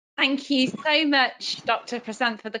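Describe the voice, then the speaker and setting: A woman at a fairly slow pace, with a strong British accent. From UK. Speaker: neonatal nurse practitioner. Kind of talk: lecture.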